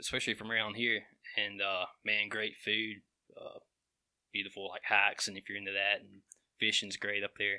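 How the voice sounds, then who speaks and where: On a very clean recording with a silent background, a man with a Southern US accent talks at a moderate pace in a fairly low, bright, sharp voice with monotone, flat intonation, long, frequent pauses and big swings in loudness. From Alabama, Walker County. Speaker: GIS mapping professional. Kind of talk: casual chat.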